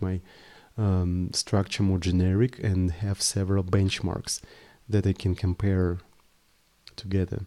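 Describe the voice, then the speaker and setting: A man's very deep, low voice in a Russian accent, on a very clean recording with a silent background. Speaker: programming live streamer. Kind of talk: live coding stream. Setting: live stream. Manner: casual, thinking aloud with hesitations.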